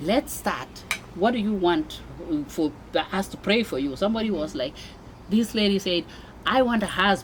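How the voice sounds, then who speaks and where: Spoken with a Kenyan accent at a moderate pace, the voice has lively intonation over noticeable background noise. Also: woman, medium pitch for a woman. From Kenya (Mombasa). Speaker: immigrant mother sharing life story. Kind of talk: interview testimony. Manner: animated.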